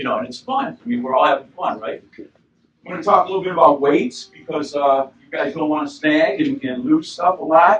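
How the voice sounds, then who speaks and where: A normal speaking voice at a moderate pace. The intonation is lively, with big swings in loudness. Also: man, fairly high pitch for a man. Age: 60s. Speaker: fishing expert. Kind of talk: seminar talk to audience. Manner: casual.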